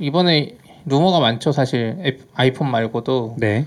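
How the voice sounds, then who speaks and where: Here a man with a fairly high pitch talks at a fairly slow pace and ordinary pitch variation. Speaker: tech podcast co-host. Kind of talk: casual chat. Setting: studio. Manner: loud.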